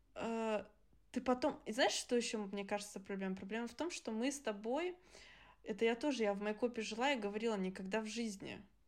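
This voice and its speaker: Her pitch fairly high and varying in an ordinary way, a woman speaks at a fairly quick pace. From Germany. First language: Adyghe (speaking Russian). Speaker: podcast co-host. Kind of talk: casual chat.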